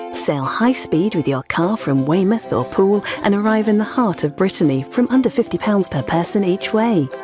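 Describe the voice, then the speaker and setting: Music plays behind a woman speaking at a moderate pace in a fairly low pitch. Her voice makes very wide pitch swings while the loudness stays very even. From United Kingdom. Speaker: voice actor. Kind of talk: TV commercial read.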